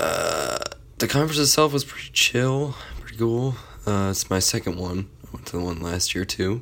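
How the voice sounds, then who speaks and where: Noticeable noise runs in the background. A man talks over it at a moderate pace. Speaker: student podcast host. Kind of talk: casual solo update. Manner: halting, many fillers.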